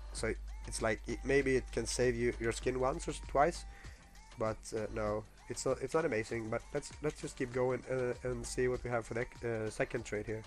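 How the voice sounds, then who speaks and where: A man talks at a moderate pace with music playing behind him. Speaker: gamer, video game guide maker. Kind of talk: casual gameplay guide commentary. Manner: hesitant, many filler words.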